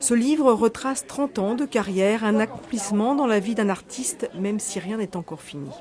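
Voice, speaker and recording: A woman talks at a moderate pace with lively intonation and a fairly high pitch, hardly pausing, over noticeable background noise. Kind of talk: TV news report narration.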